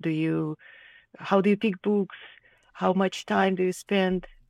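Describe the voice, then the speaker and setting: Here a woman speaks at a moderate pace. The sound is dry and close with no echo, in a very clean recording with a silent background. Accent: Russian. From Ukraine, Kharkiv. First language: Russian. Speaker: illustrator. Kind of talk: casual interview conversation. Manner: halting, many fillers.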